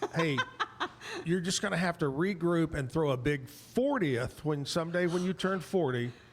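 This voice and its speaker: Noticeable background noise sits behind a man speaking at a moderate pace in a high pitch, with very even loudness and ordinary pitch variation. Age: 60s. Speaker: talk show host. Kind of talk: casual chat. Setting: live show at a bar venue.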